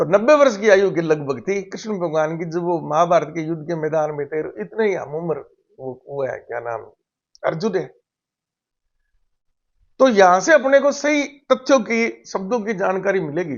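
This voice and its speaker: A man with a high pitch talks at a moderate pace, his voice making very wide pitch swings. He leaves long, frequent pauses. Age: 60s. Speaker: retired physics lecturer, spiritual commentator. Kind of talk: casual spiritual talk to camera.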